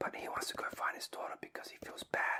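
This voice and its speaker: Whispering at a moderate pace. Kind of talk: ASMR soft spoken movie review. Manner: soft-spoken.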